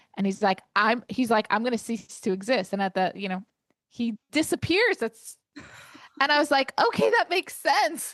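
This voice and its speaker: In a New York accent, a woman talks at a moderate pace and fairly high pitch, her voice making very wide pitch swings. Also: dry, close sound with no echo. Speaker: podcast co-host. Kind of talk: casual book discussion.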